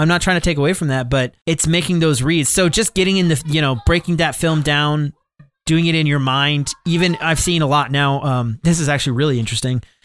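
An unremarkable speaking voice from a man, fairly high in pitch with ordinary pitch variation, very even loudness and a fairly quick pace. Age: 30s. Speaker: podcast co-host. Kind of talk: casual chat.

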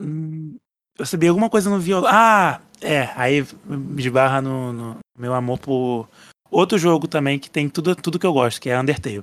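A man with a fairly high pitch uses an ordinary speaking voice, lively intonation and a moderate pace in a very clean recording with a silent background. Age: 20s. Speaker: podcast listener. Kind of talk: casual chat.

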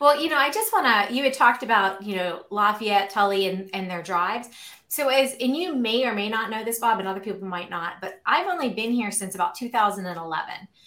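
Hardly pausing, a woman with an American accent speaks at a fairly quick pace in a fairly high, bright, sharp voice with an animated tone and lively intonation, with audible room echo around her. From Pittsburgh, western Pennsylvania. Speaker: community podcast host. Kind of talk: casual interview. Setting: video call.

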